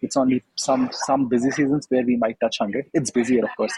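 Here a man talks at a fairly quick pace in a medium pitch. The sound is dry and close, with no echo. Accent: Indian. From India. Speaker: MBA student, former consultant. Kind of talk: interview. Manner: halting.

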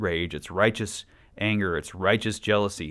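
Speaking in an ordinary speaking voice with an American accent, a man talks at a moderate pace, with a fairly low pitch and fairly even intonation, on a very clean recording with a silent background. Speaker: podcast host. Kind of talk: personal monologue.

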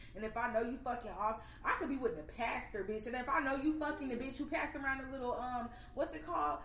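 Lively intonation and a very fast pace come through alongside noticeable background noise and audible room echo. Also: woman, high pitch for a woman. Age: 20s. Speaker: podcast host. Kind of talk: casual chat.

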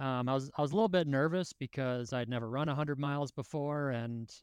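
A man with a normal speaking voice, fairly high in pitch and with ordinary pitch variation, is heard on a very clean recording with a silent background and a dry, close sound with no echo. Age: 30s. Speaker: ultrarunner. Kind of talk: casual chat.

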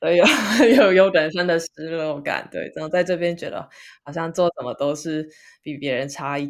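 Speaking at a moderate pace, a woman with a fairly low pitch has an unremarkable speaking voice and big swings in loudness. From Taiwan. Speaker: podcast co-host. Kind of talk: casual chat.

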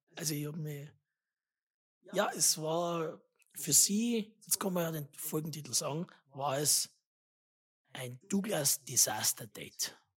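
Long, frequent pauses in very slow speech, the pitch varying in an ordinary way. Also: woman, very deep, low pitch for a woman. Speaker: podcast host. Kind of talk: casual chat.

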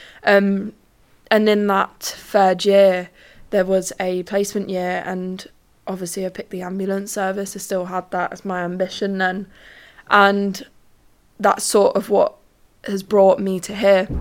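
Recorded very cleanly against a silent background, a woman with a London accent speaks at a medium pitch and fairly slow pace in a monotone, flat intonation with long, frequent pauses. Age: 20s. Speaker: podcast host and trainee ambulance technician. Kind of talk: casual monologue. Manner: hesitant, many fillers.

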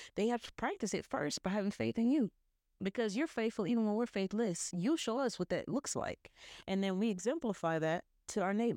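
On a very clean recording with a silent background and a dry, close sound with no echo, a woman with an American accent speaks fairly quickly at a fairly high pitch, her tone dark and mellow and her intonation lively. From US South. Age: 30s. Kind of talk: solo religious monologue.

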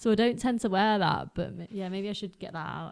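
In a very clean recording with a silent background, a woman with a British accent speaks in a dark, mellow tone with fairly even intonation. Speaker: podcast host and runner. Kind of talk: casual chat. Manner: casual, conversational.

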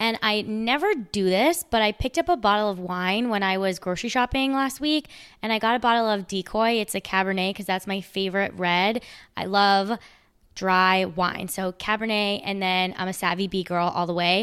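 An unremarkable speaking voice, a woman's at medium pitch with ordinary pitch variation, moves at a moderate pace on a very clean recording with a silent background. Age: 20s. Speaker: podcast host. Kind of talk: casual chat.

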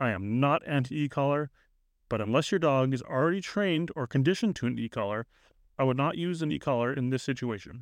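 Speaking in a normal speaking voice at a medium pitch, a man moves at a fairly quick pace with lively intonation, the sound dry and close with no echo over a quiet background. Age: 30s. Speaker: dog trainer, podcast host. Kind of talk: solo podcast monologue, instructional.

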